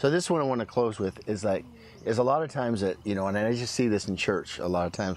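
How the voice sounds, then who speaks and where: A man with an American accent talks at a very fast pace, his pitch varying in an ordinary way. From US Northwest, Washington state. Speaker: former pro football player and preacher. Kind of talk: casual chat.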